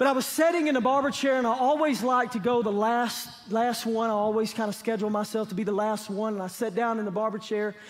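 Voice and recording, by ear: Speaking at a fairly quick pace with few pauses, the man has a high-pitched voice. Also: fairly even intonation.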